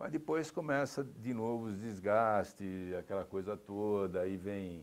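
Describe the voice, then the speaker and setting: A man with an unremarkable speaking voice, fairly low pitch, lively intonation and a fairly slow pace. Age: 60s. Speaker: sports executive. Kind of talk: interview. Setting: TV studio.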